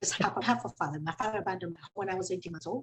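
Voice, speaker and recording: A woman speaks with a Spanish accent. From Venezuela. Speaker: company CEO. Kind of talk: panel discussion.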